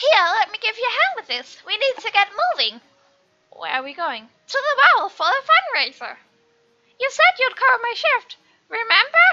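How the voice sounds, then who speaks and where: Putting on a character voice, a woman goes to an extremely high pitch at a moderate pace, with very wide pitch swings, big jumps in loudness and long, frequent pauses. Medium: game stream.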